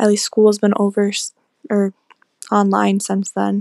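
A woman speaks with an American accent, the sound dry and close with no echo. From New York. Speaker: college student. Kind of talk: recorded message.

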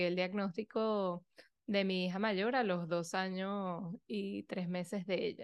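Against a quiet background, a woman talks at a fairly slow pace. She has an ordinary speaking voice, a medium pitch and fairly even intonation. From Venezuela. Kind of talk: interview conversation.

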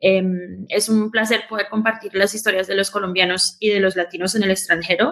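A woman's unremarkable speaking voice, medium-pitched and fairly quick, with very even loudness and fairly even intonation. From Queens, New York, with Colombian roots. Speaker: podcast company founder. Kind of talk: live show conversation.

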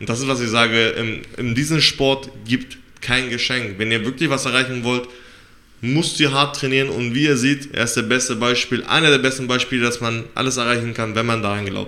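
A man at medium pitch with fairly even intonation and a moderate pace, an unremarkable speaking voice. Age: 30s. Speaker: podcast co-host and MMA trainee. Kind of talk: interview.

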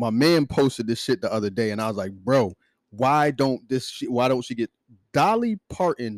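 The recording is very clean with a silent background and a dry, close sound with no echo. A man with a normal speaking voice talks at a moderate pace in a medium pitch with ordinary pitch variation. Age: 40s. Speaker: podcast co-host. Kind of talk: casual chat.

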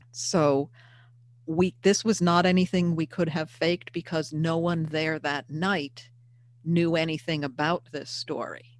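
A woman speaks in an ordinary speaking voice with an American accent, her pitch fairly low and her intonation fairly even. She talks at a fairly slow pace, and the recording is very clean with a silent background. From US Northeast, Hudson Valley of New York. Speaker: paranormal investigator and author. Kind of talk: casual interview.

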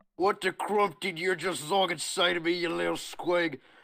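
Putting on a raspy character voice at a high pitch, a man speaks at a moderate pace. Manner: aggressive, confrontational.

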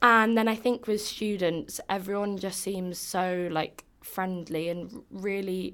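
A woman at a very slow pace, medium in pitch, her intonation fairly even. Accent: English. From England. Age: 20s. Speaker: exchange student. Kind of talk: casual interview chat.

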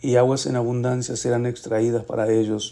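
Here a man uses a normal speaking voice at medium pitch. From Argentina, Mendoza. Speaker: bible reading podcaster. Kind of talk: reading aloud scripture with brief comments.

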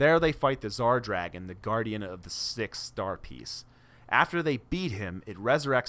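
A man with a bright, sharp tone speaks at a moderate pace with very wide pitch swings. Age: 30s. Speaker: podcast co-host. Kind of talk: plot summary; casual chat. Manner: pitch rises when excited.

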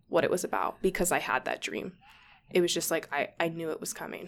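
In a very clean recording with a silent background, a woman with an ordinary speaking voice talks at a fairly quick pace, her pitch fairly low and its variation ordinary. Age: 20s. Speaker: young mother sharing her story. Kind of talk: interview testimony.

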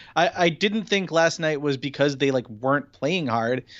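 A man speaks with an ordinary speaking voice at a fairly high pitch. He moves at a fairly quick pace with ordinary pitch variation. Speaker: sports journalist. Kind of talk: casual chat.

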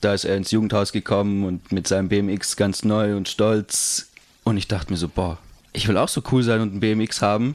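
Using a plain, everyday voice, a man talks at a moderate pace with fairly low pitch and fairly even intonation. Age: 20s. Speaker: skateboarder and office clerk. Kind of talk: casual chat. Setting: host's living room.

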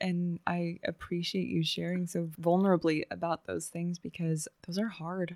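The speech moves at a moderate pace with hardly any pauses, monotone and flat in intonation, in a dry, close sound with no echo. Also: woman, fairly low pitch for a woman. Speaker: podcast host. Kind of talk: casual interview chat.

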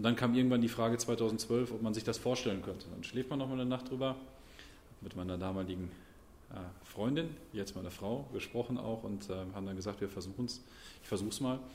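A man's medium-pitched voice at a very fast pace, broken by long, frequent pauses. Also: ordinary pitch variation. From Sauerland, Germany (Brilon). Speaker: member of parliament. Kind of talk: interview.

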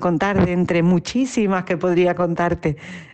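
Over noticeable background noise, a woman with a fairly low voice speaks at a moderate pace with fairly even intonation. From Andalusia, Spain (Utrera, Seville). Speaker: singer and performer. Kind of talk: interview.

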